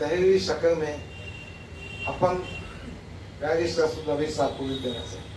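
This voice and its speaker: Amid noticeable background noise and audible room echo, a man speaks at a fairly high pitch with ordinary pitch variation. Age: 60s. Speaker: politician. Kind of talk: press statement reading a letter aloud. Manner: formal.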